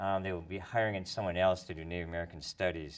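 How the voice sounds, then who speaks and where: The speaker talks at a very fast pace with a Minnesotan accent. The background is quiet. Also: man. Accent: Minnesota. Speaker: professor. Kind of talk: tv interview.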